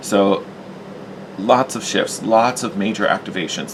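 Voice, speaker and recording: A man keeps his intonation fairly even while noticeable background noise carries on. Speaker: tarot reader. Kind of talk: tarot reading.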